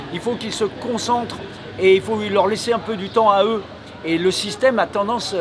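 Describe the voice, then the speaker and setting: Amid noticeable background noise, a man with a high pitch speaks at a moderate pace. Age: 60s. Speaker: retired motorcycle racer. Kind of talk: interview. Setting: racetrack event. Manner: hesitant with many fillers.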